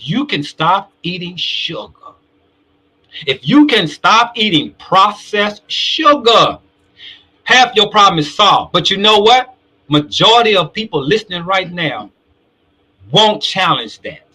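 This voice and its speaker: A man with a high pitch speaks in a raised, projected voice, his tone bright, sharp and animated, his intonation lively, his pace fairly slow and broken by long, frequent pauses. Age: 60s. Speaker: talk show host. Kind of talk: live show discussion.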